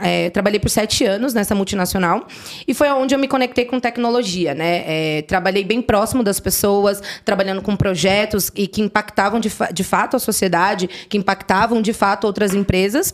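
A woman with a Paulista accent at medium pitch, ordinary pitch variation, very even loudness and a moderate pace, with noticeable background noise. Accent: Paulista Brazilian Portuguese. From Brazil, São Paulo north zone. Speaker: tech professional. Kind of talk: casual chat.

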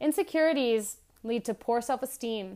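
On a very clean recording with a silent background, a woman with a plain, everyday voice and fairly high pitch speaks at a moderate pace with lively intonation. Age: 40s. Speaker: wellness podcast host. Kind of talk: solo reflective monologue.

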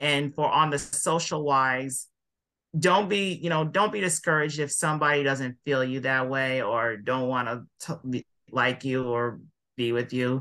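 A man with an American accent, fairly high in pitch and bright, sharp in tone, at a fairly slow pace with ordinary pitch variation against a quiet background. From California. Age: 20s. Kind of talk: casual interview chat.

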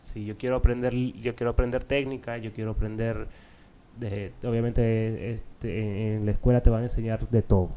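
A man's medium-pitched, dark, mellow voice with monotone, flat intonation, a moderate pace and big swings in loudness. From Peru (Arequipa). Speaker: culinary student. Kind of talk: casual interview. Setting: radio studio.

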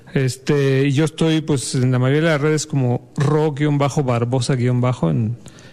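A man with a Mexico City accent, over noticeable background noise. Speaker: jazz bassist. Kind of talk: casual interview.

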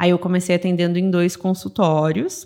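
An unremarkable speaking voice from a woman, fairly low in pitch, with fairly even intonation and a moderate pace. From southern Brazil, Rio Grande do Sul (São Leopoldo). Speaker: dentist and business mentor. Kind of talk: casual interview chat.

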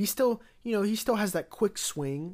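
In a very clean recording with a silent background, a man with an American accent talks at a moderate pace with very wide pitch swings. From US Midwest, Cincinnati area. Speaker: sports podcast host. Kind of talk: casual solo sports commentary. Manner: halting, many fillers and repetitions.

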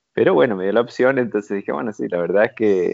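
The man talks very fast, his pitch varying in an ordinary way. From Argentina, Buenos Aires province and Mar del Plata. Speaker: entrepreneur. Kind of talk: interview. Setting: remote call.

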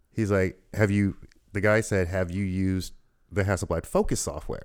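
Speaking at a fairly slow pace, a man with an American accent has a very deep, low pitch, captured in a very clean recording with a silent background. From US South, Louisville, Kentucky. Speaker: photographer. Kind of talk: casual interview. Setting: studio.

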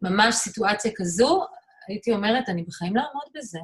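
This woman has a plain, everyday voice pitched fairly high. Her pitch varies in an ordinary way. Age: 50s. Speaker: artist and photographer. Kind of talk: interview.

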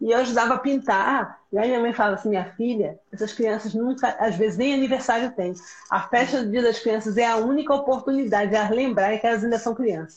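Fairly quick and with hardly any pauses, a woman talks at a fairly high pitch with fairly even intonation. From Pernambuco, Brazil, with Rio ties. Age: 30s. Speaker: educator. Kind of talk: casual chat.

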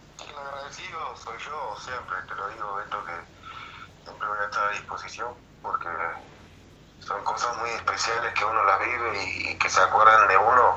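A man speaks at a moderate pace with long, frequent pauses. Audible room echo and noticeable background noise surround him. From Uruguay. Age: 40s. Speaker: retired footballer. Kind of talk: interview. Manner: hesitant, repetitive.

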